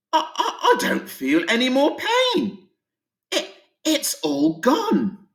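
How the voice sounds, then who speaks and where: Putting on a character voice, a man speaks at a very slow pace in an extremely high pitch. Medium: read story. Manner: stammering.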